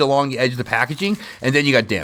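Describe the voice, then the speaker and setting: A man is speaking. His intonation is lively. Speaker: card collecting YouTuber. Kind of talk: casual unboxing commentary. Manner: conversational, many fillers; quiet.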